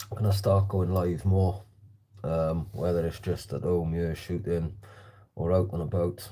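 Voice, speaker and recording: A man with an American accent, very deep and low in pitch, dark and mellow in tone, fairly slow and fairly even in intonation, with audible room echo. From South Wales. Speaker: slingshot shooter livestreamer. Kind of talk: casual livestream chat. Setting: livestream shooting in hallway at home.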